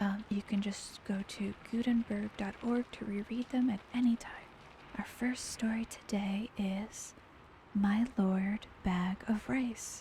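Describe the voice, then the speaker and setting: The speaker is soft-spoken and talks at a very slow pace amid noticeable background noise. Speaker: VTuber. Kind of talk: casual livestream talk.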